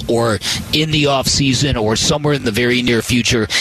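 A man is speaking. Background noise is noticeable. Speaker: radio sports host. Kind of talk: scripted opinion rant read as a 'Blast' commentary. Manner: punchy, sarcastic, emphatic.

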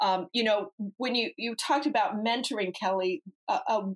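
A woman talks with an American accent and ordinary pitch variation. The sound is dry and close, with no echo. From Ohio. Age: 50s. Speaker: former business executive. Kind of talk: interview. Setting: remote call.

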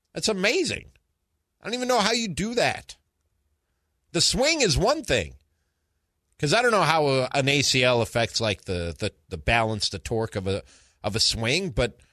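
A man talks at a moderate pace and fairly high pitch, with very wide pitch swings and long, frequent pauses. His tone is bright and sharp with vocal fry, over a quiet background. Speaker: sports radio co-host. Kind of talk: sports talk radio. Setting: studio.

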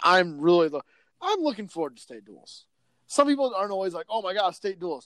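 A fairly quick, animated delivery in a Midwestern American accent, with lively intonation, big swings in loudness and a dry, close sound with no echo. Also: man, high pitch for a man. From northwest Iowa. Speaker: sports editor. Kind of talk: casual sports chat.

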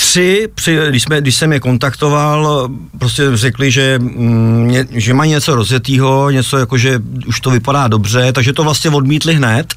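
A man with an unremarkable speaking voice talks at a fairly slow pace and medium pitch, with ordinary pitch variation and very even loudness. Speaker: rock band founder and leader. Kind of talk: radio interview.

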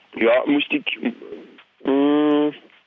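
Noticeable background noise sits behind the speaker. A man talks with lively intonation. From Belgium, Flanders (francophone family, Brussels/Charleroi roots). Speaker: TV chef. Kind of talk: casual chat. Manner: hesitant, many fillers.

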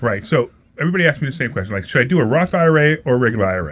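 Speaking at a very fast pace, a somewhat breathy man swings his pitch very widely. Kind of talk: radio call-in pitch. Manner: rapid-fire, repeating the phone number in a pushy, salesy patter; upbeat, enthusiastic, hyping the guest and topic.

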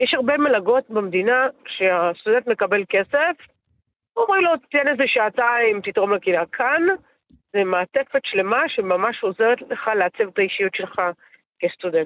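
A woman with an ordinary speaking voice, fairly high in pitch, talks at a moderate pace with lively intonation and very even loudness. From Israel, Netanya. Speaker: politician. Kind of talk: interview.

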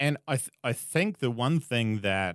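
A man in an Australian accent with ordinary pitch variation, on a very clean recording with a silent background. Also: dry, close sound with no echo. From Australia, rural Queensland. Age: 30s. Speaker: media host and marketer. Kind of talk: interview conversation. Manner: hesitant, many fillers.

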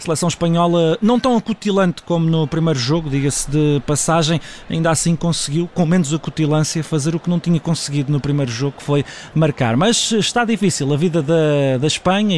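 Over noticeable background noise, a man talks at a fairly quick pace in a fairly high pitch, keeping his loudness very even and his pitch variation ordinary. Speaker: sports journalist. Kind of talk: radio analysis; live commentary. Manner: fast.

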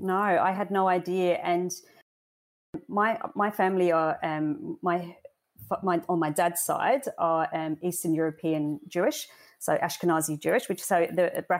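On a very clean recording with a silent background, a woman with a British accent speaks fairly slowly at a fairly low pitch, with ordinary pitch variation. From UK. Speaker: cancer survivor and charity volunteer. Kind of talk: interview. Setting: podcast. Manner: hesitant with frequent fillers.

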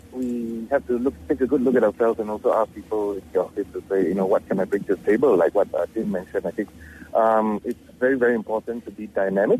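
A man's medium-pitched, dark, mellow voice at a fairly quick pace, with ordinary pitch variation and a dry, close sound with no echo. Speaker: healthcare recruiter. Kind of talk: phone-in call.

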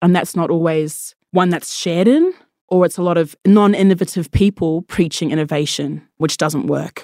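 With an Australian accent, a woman speaks at a fairly low pitch in a dark, mellow tone with fairly even intonation, the sound dry and close with no echo. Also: moderate pace. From Australia, First Nations. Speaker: tech worker. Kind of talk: interview answers.

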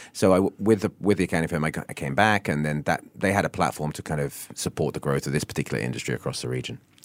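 A man with a southern English accent talks very fast, with hardly any pauses. His pitch is very deep and low, with lively intonation and vocal fry. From southern England, Isle of Wight. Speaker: business executive. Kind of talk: radio interview.

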